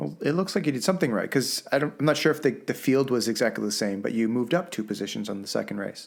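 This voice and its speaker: Speaking very fast with hardly any pauses, a man uses a medium-pitched voice with vocal fry and very wide pitch swings, on a very clean recording with a silent background. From Canada. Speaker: podcast co-host. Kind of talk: casual chat.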